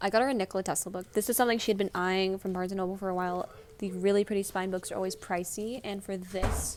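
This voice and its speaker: Her medium-pitched voice racing at a very fast pace, a woman speaks with monotone, flat intonation. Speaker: vlogger. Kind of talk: casual vlog.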